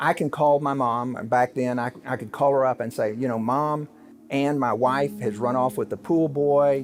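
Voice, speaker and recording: A man with an American accent has an unremarkable speaking voice at a medium pitch. He talks at a fairly slow pace with ordinary pitch variation. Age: 60s. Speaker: lawyer and keynote speaker. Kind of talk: interview.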